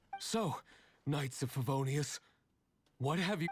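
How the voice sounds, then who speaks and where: In a put-on character voice, a man speaks fairly slowly and raspily at a fairly high pitch with ordinary pitch variation. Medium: video game. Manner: sarcastic.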